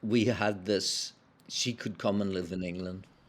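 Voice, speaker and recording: A man speaks at a fairly slow pace with a Belfast accent, recorded very cleanly against a silent background. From Northern Ireland, Belfast. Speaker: spiritual practitioner, former publisher. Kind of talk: interview storytelling. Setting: podcast interview.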